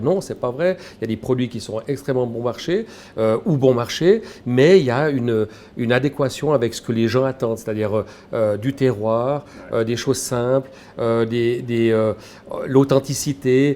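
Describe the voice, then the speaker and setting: Speaking at a moderate pace, a man with a medium pitch has a dark, mellow tone. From Switzerland, Valais. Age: 60s. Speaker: shop owner, former headhunter. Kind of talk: interview. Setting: in his grocery shop.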